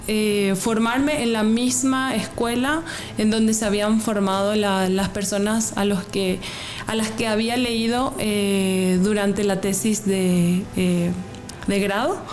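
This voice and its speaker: With music in the background and audible room echo, a woman with a Paraguayan accent speaks at a very slow pace in a fairly high pitch. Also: very even loudness. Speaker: graduate student researcher. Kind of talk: interview. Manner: hesitant, many fillers and repetitions.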